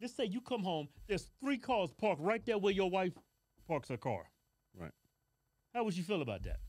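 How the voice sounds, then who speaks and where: A man talks at a moderate pace with lively intonation against a quiet background. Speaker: show co-host. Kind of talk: casual debate commentary. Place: studio. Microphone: studio mic.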